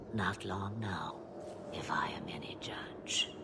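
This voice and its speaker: A man whispers in a put-on character voice at a fairly slow pace. Loud background noise runs underneath. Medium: game stream.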